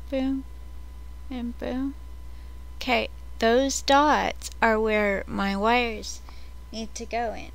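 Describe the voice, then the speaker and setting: A woman speaks very slowly in a dry sound with no echo. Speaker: vlogger. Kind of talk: casual vlog chat. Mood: excited, rambling. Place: home room. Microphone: webcam.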